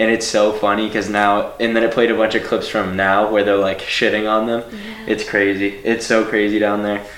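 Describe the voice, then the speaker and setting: A man with a fairly low pitch talks at a moderate pace in a monotone, flat intonation, with very even loudness, hardly any pauses and noticeable background noise. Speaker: podcast host. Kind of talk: casual interview chat.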